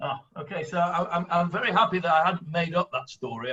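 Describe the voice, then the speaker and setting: The speaker has a strong northern English accent. The pace is fairly quick. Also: man. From northern England. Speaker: rabbi and Bible teacher. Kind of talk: online Bible class discussion. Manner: hesitant, many fillers.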